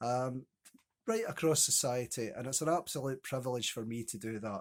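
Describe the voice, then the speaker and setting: A man with a Scottish accent talks at a moderate pace and medium pitch, with ordinary pitch variation. The recording is very clean, with a silent background. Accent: Scottish (Ayrshire). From Scotland, Ayrshire (Kilmarnock). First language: Scots. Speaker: poet. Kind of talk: casual chat to camera.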